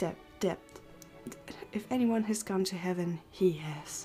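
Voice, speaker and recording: A woman speaking at a fairly slow pace with fairly even intonation, over faint music in the background. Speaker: content creator. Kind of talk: joke reading. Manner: stuttering. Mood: amused, light. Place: home room.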